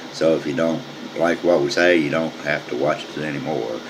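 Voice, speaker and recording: A man's very deep, low voice at a moderate pace, fairly even in intonation, with noticeable background noise. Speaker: amateur news show host. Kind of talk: casual comedic news commentary. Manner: casual, halting with repetitions.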